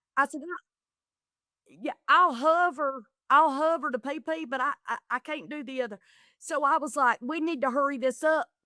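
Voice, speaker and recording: With an American accent, a woman projects a raised, high-pitched voice with a bright, sharp tone and ordinary pitch variation on a very clean recording with a silent background. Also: moderate pace, dry, close sound with no echo. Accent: Southern US, gets thick when excited. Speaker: comedian and reality TV contestant. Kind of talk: podcast interview, casual chat. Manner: animated.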